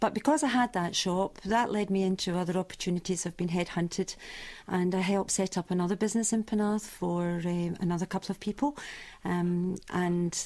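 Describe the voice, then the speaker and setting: Recorded very cleanly with a silent background, a woman with a normal speaking voice talks at a fairly quick pace, at medium pitch with ordinary pitch variation. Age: 60s. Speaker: shop owner. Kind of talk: radio interview.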